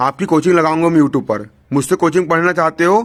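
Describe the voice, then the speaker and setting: Fairly high for a man, an ordinary speaking voice with ordinary pitch variation belongs to this male speaker. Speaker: teacher. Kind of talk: lecture.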